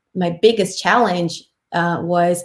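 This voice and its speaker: A woman with a Brazilian Portuguese accent. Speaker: tech industry panelist. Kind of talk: panel discussion. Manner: halting.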